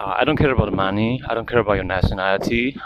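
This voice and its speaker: There is noticeable background noise behind this man. His fairly low pitch holds a fairly even intonation. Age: 20s. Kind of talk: casual talk to camera. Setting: outdoors. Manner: hesitant.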